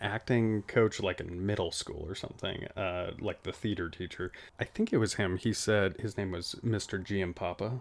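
A man with a plain, everyday voice and an American accent, fairly low pitch, fairly even intonation, a moderate pace with hardly any pauses, on a very clean recording with a silent background. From Nevada. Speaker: podcast co-host. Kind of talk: casual chat. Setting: shipping container studio with outdoor noise.

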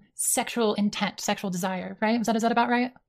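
A woman's voice, an unremarkable speaking voice, fairly high in pitch with fairly even intonation, on a very clean recording with a silent background. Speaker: online debater. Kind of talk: heated debate.

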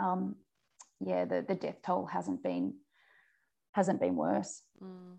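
A woman speaks with an Australian accent against a quiet background. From New South Wales Central West, Australia. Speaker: journalist and macadamia farmer. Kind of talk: interview.

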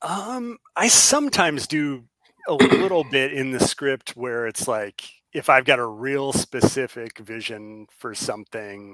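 A man has a normal speaking voice at a medium pitch with ordinary pitch variation. He talks at a fairly slow pace with big swings in loudness. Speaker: comic writer and creator. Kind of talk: casual interview chat.

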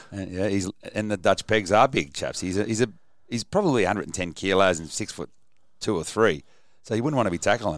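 With an Australian accent, a man speaks at a fairly low pitch in a very clean recording with a silent background. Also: ordinary pitch variation, fairly quick pace. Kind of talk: casual chat.

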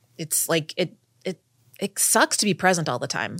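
Recorded very cleanly against a silent background, a woman with an ordinary speaking voice talks at a moderate pace with fairly even intonation. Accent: American. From Texas. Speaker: writer on sober sex and dating. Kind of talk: casual interview chat. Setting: in-person studio recording.

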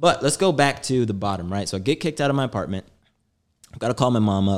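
Very fast and with lively intonation, a man speaks with an American accent. The recording is very clean, with a silent background. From US Midwest, St. Louis suburbs. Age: 30s. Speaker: podcast co-host, tech salesman. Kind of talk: casual chat.

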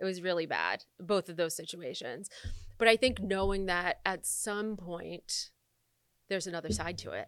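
On a very clean recording with a silent background, a woman with an American accent shows vocal fry, ordinary pitch variation and big swings in loudness. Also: medium pitch for a woman, moderate pace. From Michigan, US Midwest. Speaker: entrepreneur and coach. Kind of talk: casual chat.

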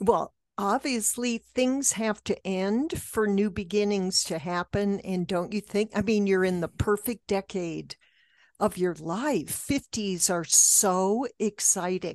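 A woman talks at a very slow pace in a medium pitch with ordinary pitch variation. The sound is dry and close with no echo, over a quiet background. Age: 70s. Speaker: podcast co-host. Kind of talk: interview conversation. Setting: video call.

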